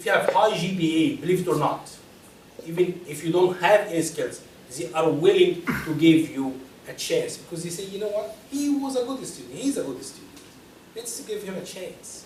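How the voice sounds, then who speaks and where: In a room with audible echo and noticeable background noise, a speaker with a non-native accent uses lively intonation and big swings in loudness. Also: man, high pitch for a man, moderate pace. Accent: foreign. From Egypt. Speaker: personal finance speaker. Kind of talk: lecture.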